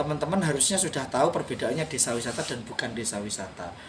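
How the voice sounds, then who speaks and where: Talking at a very fast pace, a man is heard over noticeable background noise and audible room echo. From East Java, Indonesia. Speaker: tourism village manager. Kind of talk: interview. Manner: fluent, practiced.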